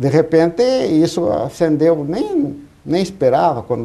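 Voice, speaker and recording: A man speaks at a fairly slow pace with a fairly high pitch and lively intonation. Noticeable background noise runs underneath. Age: 70s. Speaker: professor and citizen activist. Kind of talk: TV debate. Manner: halting.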